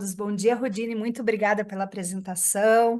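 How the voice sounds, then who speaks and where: Speaking in a southern Brazilian accent at a moderate pace, the voice keeps a fairly even intonation against a quiet background. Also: woman. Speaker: radiology professor. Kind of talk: lecture.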